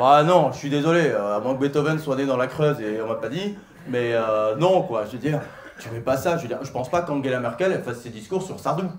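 A man at a fairly quick pace, with light background noise and audible room echo. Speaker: stand-up comedian. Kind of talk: stand-up comedy routine. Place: stage. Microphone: handheld.

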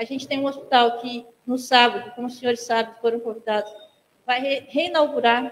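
Her voice is high-pitched, and this woman keeps her intonation fairly even. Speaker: hospital administrator. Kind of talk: presentation to council. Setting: council chamber podium. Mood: earnest, advocating. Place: hall. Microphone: handheld.

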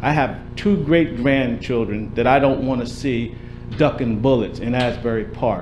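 Against clear background noise, a man talks fairly slowly with ordinary pitch variation. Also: medium pitch for a man.

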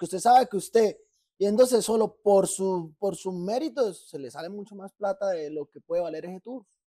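The very clean recording, with a silent background, captures speech at a moderate pace. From Colombia, Barrancabermeja. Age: 30s. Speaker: podcast co-host. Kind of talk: casual chat.

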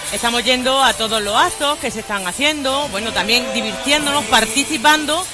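A woman's voice comes through with a dry, echo-free sound over noticeable background noise. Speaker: council guest. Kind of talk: interview answer. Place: stage. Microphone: headset.

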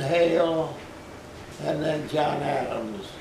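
Amid light background noise and audible room echo, a man speaks at a very slow pace with ordinary pitch variation. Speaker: interviewee. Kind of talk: interview answer. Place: home room. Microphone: camera far.

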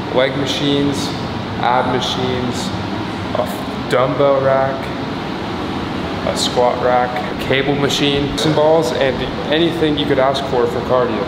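A man at a fairly slow pace, with audible room echo and loud background noise. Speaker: fitness vlogger. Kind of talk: casual vlog chat. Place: gym. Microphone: phone near.

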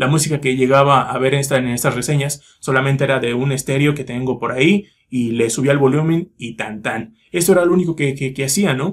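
Against a quiet background, a man speaks at a fairly high pitch and a fairly quick pace with hardly any pauses. His tone is confident and somewhat breathy, with ordinary pitch variation. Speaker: YouTuber, metal music reviewer. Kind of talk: casual vlog monologue. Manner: fluent, confident. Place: home room. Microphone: phone near.

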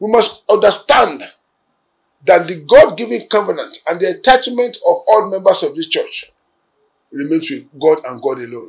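At a moderate pace and against a quiet background, a man with a high pitch makes very wide pitch swings and big swings in loudness, pausing long and often. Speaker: church leader and channel head. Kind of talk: religious new year address. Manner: formal. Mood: solemn, hopeful. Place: office.

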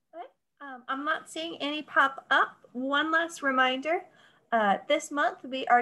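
A woman speaks in a raised, projected voice with a bright, sharp tone, high pitch, ordinary pitch variation and a moderate pace. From North Carolina. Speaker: library event moderator. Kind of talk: moderated Q&A. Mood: friendly, inviting. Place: home room. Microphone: video call.

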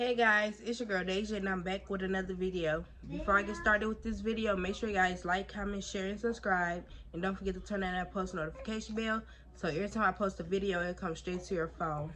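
Against light background noise, a woman talks at a very fast pace with fairly even intonation. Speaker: home vlogger. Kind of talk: casual vlog chat. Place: home room. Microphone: phone near.

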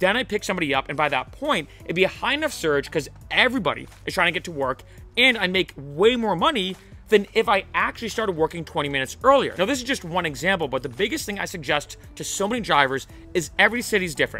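Over faint music in the background, a man talks at a very fast pace in a raised, projected voice, with a dry sound and no echo. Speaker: rideshare driver vlogger. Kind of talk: casual vlog advice. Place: garden. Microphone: studio mic.

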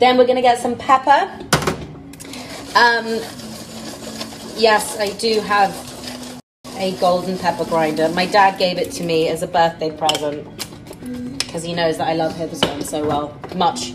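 Speaking at a moderate pace with long, frequent pauses, a woman with a fairly low pitch is heard over noticeable background noise. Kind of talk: casual cooking tutorial chat. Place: kitchen. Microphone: phone near.

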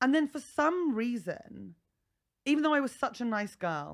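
A woman in a southern English accent speaks at a moderate pace with very wide pitch swings against a quiet background. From England, North East Hampshire; England. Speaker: comedian. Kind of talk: casual chat. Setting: comedy festival podcast recording. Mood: humorous, candid. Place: studio. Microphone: studio mic.

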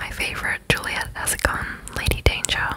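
A woman is whispering, with noticeable background noise behind her. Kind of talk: ASMR apartment tour voiceover. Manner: whispered, soft.

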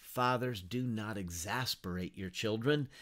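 Over a quiet background, the speaker goes at a fairly slow pace with lively intonation. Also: man. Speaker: Bible teacher. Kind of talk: lecture. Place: home room. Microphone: webcam.

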